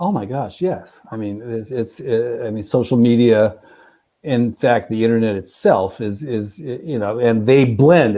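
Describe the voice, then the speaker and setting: A man speaks with an American accent at a medium pitch, with ordinary pitch variation. His tone is dark and mellow. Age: 60s. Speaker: historian and author. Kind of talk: panel discussion.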